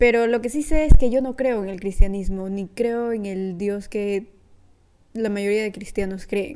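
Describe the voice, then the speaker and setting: Speaking at a fairly slow pace, a woman uses a plain, everyday voice with fairly high pitch, ordinary pitch variation and big swings in loudness. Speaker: podcast host. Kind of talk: casual solo podcast monologue.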